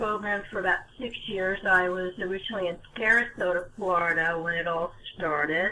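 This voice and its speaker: Here a woman speaks in an American accent. Noticeable background noise is present. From US Northeast, North Jersey. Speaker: caller on a legal self-help video meeting. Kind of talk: casual chat. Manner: halting, many fillers.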